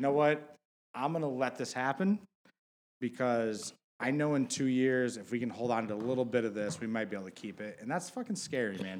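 A man talks at a fairly quick pace with ordinary pitch variation. He has an unremarkable speaking voice at medium pitch. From Michigan, Detroit. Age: 30s. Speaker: fantasy basketball friend, prospective co-host. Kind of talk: casual chat.

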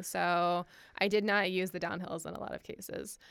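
Against a silent background on a very clean recording, a woman with an American accent and an unremarkable speaking voice talks at a moderate pace in a fairly low pitch. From Michigan. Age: 30s. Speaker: ultrarunner. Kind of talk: casual chat.

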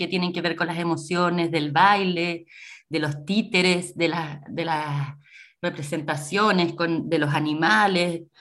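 Her tone is bright and sharp. The woman speaks at a fairly slow pace. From Chile, Coquimbo region. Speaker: actress and theatre teacher. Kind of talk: radio interview.

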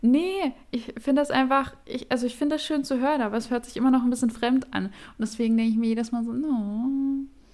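At a fairly quick pace, a woman speaks with a high pitch and fairly even intonation. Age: 20s. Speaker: podcast co-host. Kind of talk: casual chat.

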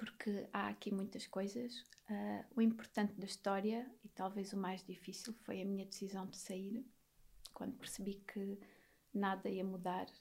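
Her intonation is monotone and flat, at a fairly slow pace. The woman's medium-pitched voice is somewhat breathy. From Alentejo, Portugal (near Beja). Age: 30s. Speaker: psychologist. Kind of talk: podcast interview, personal testimony.

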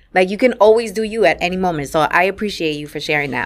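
A woman speaks with a New York accent. The recording is very clean, with a silent background. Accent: New York City. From New York, Puerto Rican family. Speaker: podcast host and business coach. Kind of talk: interview.

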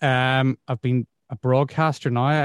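Monotone, flat intonation marks this man's medium-pitched voice in a Northern Irish accent. The sound is dry and close, with no echo. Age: 40s. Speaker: radio presenter. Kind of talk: casual interview. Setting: video call.

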